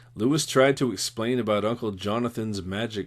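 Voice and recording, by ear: Someone reads aloud here in a natural voice.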